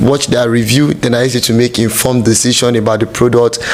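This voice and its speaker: The speaker is a man with a medium pitch. Noticeable background noise runs under his voice. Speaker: YouTuber and street evangelist. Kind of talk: product review tutorial. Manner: casual, conversational.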